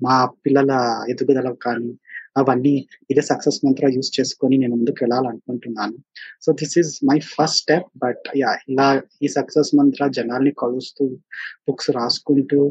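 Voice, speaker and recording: Medium in pitch, the man's voice stays monotone with flat intonation. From India, Bangalore (Telugu family from Anantapur). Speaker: first-time author, software architect. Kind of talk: interview. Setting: virtual studio.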